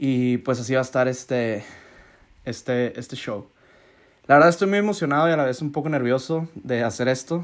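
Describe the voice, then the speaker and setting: A man at a moderate pace, with ordinary pitch variation and long, frequent pauses. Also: medium pitch for a man, very clean recording, silent background. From Mexico, Hermosillo, Sonora. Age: 20s. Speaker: podcast host. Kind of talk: casual monologue.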